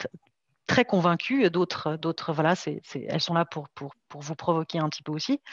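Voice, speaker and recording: A woman with a fairly low pitch speaks at a fairly slow pace, her loudness swinging widely, in a dry, close recording with no echo and a quiet background. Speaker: development cooperation gender specialist. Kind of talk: online conference talk. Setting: online video conference. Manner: halting, many fillers and repetitions.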